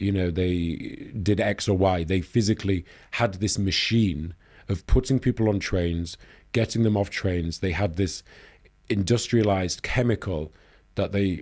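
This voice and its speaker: A man with a Yorkshire accent speaks in a very deep, low voice with ordinary pitch variation, leaving long, frequent pauses, on a very clean recording with a silent background. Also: moderate pace. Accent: Northern English (Yorkshire). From Leeds, England. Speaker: news editor, journalist. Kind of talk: podcast interview answer.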